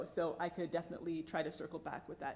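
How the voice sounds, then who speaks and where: A woman with a fairly low pitch speaks at a very fast pace. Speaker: civil liberties advocate and lobbyist. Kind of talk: Q&A after a talk.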